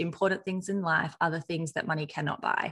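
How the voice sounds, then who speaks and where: A woman talks with an Australian accent at a moderate pace. Her fairly low voice shows ordinary pitch variation. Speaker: podcast host and marketing agency CEO. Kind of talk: interview, host intro and outro. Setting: virtual call, remote guest.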